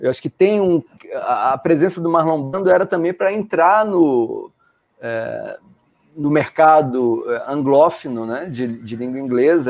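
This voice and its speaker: Against a quiet background, a man speaks at a very slow pace. His pitch is fairly high. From Brazil, Salvador (Bahia). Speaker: professor. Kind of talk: casual discussion. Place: home room. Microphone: video call.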